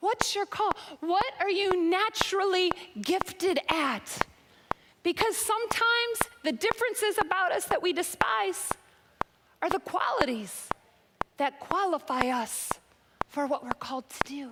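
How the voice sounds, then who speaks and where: A loud woman speaks at a fairly slow pace with an extremely high pitch, very wide pitch swings, and long, frequent pauses over noticeable background noise. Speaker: preacher. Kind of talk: sermon.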